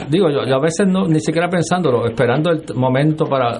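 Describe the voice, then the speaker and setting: A man talks fairly quickly, his pitch moving in an ordinary way. There is noticeable noise in the background. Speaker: senator and political candidate. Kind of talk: radio interview.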